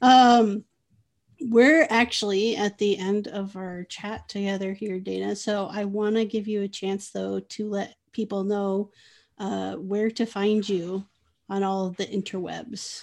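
Speaking at a fairly slow pace, a woman uses an ordinary speaking voice with fairly even intonation. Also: medium pitch for a woman. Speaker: podcast host. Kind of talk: casual interview.

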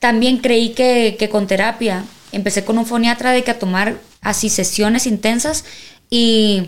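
Here is a woman with an ordinary speaking voice, pitched fairly high. She goes at a fairly slow pace, keeping very even loudness and fairly even intonation. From Mexico, Sinaloa (Culiacán). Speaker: singer. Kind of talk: casual interview chat.

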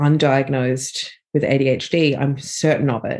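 The background is quiet. A woman speaks in an Australian accent. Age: 40s. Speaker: author. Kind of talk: interview.

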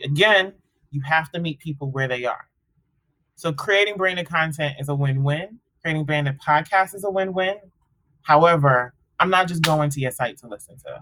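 A woman with an American accent speaks at a moderate pace, her very deep, low voice bright and sharp in tone. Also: ordinary pitch variation, big swings in loudness. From US. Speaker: podcast network executive. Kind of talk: casual interview chat.

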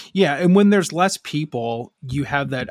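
The recording is very clean, its background silent. A man talks with ordinary pitch variation. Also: dry, close sound with no echo. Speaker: podcast host. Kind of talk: casual banter, wrestling podcast discussion. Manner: jokey, profane, animated.

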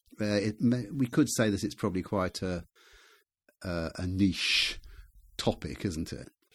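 Speaking with a southern English accent at a fairly low pitch, a man moves at a fairly slow pace with ordinary pitch variation and long, frequent pauses, on a very clean recording with a silent background. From England, Gloucestershire. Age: 70s. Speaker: author. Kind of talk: casual chat. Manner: halting.

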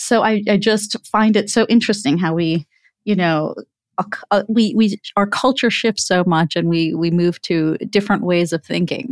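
Speaking at a moderate pace, a woman with an American accent has an ordinary speaking voice, medium in pitch with ordinary pitch variation. The sound is dry and close with no echo, on a very clean recording with a silent background. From US. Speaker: physician podcast host. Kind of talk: interview.

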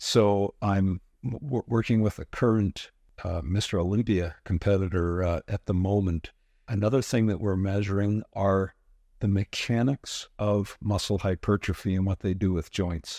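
A man speaks in a dark, mellow tone with fairly even intonation. The sound is dry and close, with no echo. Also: fairly low pitch for a man, moderate pace. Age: 60s. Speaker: spine biomechanics researcher. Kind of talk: expert interview.

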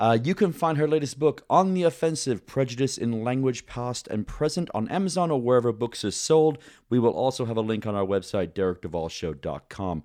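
Against a quiet background, a man talks at a fairly quick pace with very wide pitch swings and hardly any pauses. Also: medium pitch for a man. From Great Britain. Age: 40s. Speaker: podcast host, navy veteran. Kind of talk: interview and casual chat.

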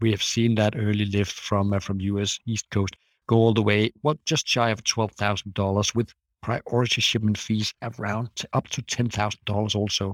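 A man speaks at a moderate pace in a fairly low pitch, with a monotone, flat delivery. The recording is very clean, with a silent background. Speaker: shipping analyst. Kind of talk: interview discussion. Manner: halting, many fillers.

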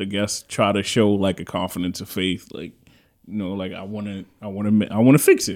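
With a New York accent, a man speaks at a fairly quick pace and fairly low pitch, with fairly even intonation. His loudness swings widely on a very clean recording with a silent background. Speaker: podcast host. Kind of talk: casual chat.

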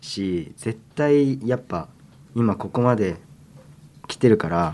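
A man speaks very slowly, his pitch swinging very widely. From Tokyo, Japan. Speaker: member of a boy group, podcast co-host. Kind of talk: casual chat.

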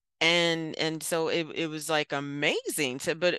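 A woman with an American accent, a normal speaking voice, fairly low pitch and fairly even intonation. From Baltimore, US. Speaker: mental health counselor and author. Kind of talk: casual chat. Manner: laughs often, warm.

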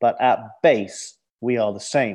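A man with a London accent speaks in a dark, mellow tone, his pitch varying in an ordinary way against a quiet background. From London, England. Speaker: adventurer, author and TV host. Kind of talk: interview. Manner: halting, with fillers.

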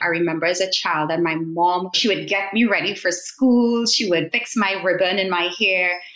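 Noticeable background noise sits behind a woman speaking at a moderate pace with hardly any pauses. Her medium-pitched voice keeps very even loudness and fairly even intonation. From Trinidad and Tobago. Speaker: education consultant and doctoral researcher. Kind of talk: interview.

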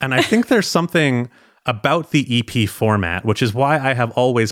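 A man talks at a fairly quick pace with lively intonation in a plain, everyday voice. The recording is very clean, with a silent background. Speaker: music journalist and author. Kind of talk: casual chat.

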